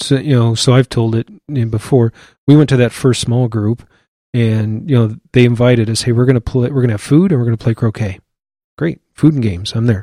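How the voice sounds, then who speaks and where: A man with a Midwestern US accent speaks at a medium pitch and fairly quick pace, with a dark, mellow tone and ordinary pitch variation. The recording is very clean with a silent background and a dry, close sound with no echo. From Iowa City, Iowa. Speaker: church elder, Air Force veteran. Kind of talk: casual interview.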